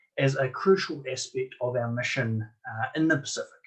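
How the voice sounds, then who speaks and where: A man talks with a New Zealand accent at a moderate pace. His pitch is fairly high, and his voice is somewhat breathy. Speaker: marine archaeologist. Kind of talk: conference presentation. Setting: online conference.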